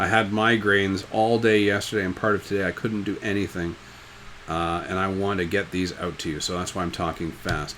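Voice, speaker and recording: A man's fairly low voice, fairly quick and fairly even in intonation, with audible room echo. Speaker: high school business teacher. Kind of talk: recorded lecture. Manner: fast; casual, joking.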